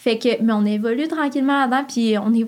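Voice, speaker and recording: The pace is very fast. Intonation remains fairly even. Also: woman. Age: 20s. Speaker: podcast listener guest. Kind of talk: casual chat. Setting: studio.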